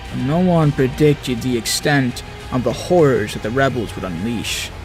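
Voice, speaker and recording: A man's lively intonation and moderate pace come through over music in the background. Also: medium pitch for a man. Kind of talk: game lore narration.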